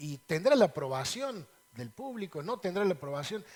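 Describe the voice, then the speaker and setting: Pitched high for a man, this male voice moves at a fairly quick pace with very wide pitch swings over noticeable background noise. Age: 60s. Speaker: lawyer, politician and author. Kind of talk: TV interview.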